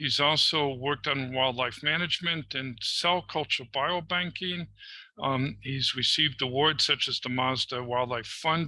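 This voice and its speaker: A man with an American accent, a bright, sharp tone and ordinary pitch variation. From United States. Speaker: webinar facilitator, conservation economist. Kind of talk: webinar moderation. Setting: online webinar. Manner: informal, with hesitations.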